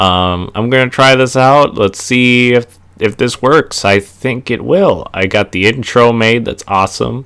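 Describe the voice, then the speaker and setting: In a Minnesota accent, a man at a medium pitch talks at a fairly slow pace with hardly any pauses and ordinary pitch variation. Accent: Minnesota accent (regular voice). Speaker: wrestling reviewer, YouTuber. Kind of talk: casual vlog monologue. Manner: halting, many fillers.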